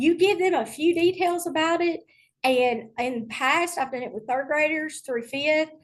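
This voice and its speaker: This woman speaks in a Tennessee accent. Her intonation is lively. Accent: Southern US (Tennessee). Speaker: middle school STEM teacher. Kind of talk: online presentation to teachers.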